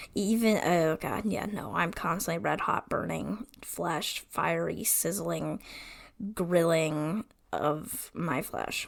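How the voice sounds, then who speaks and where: A woman speaks very slowly in a put-on character voice. Her voice is raspy and fairly low in pitch. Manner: stammering, dramatic, exaggerating.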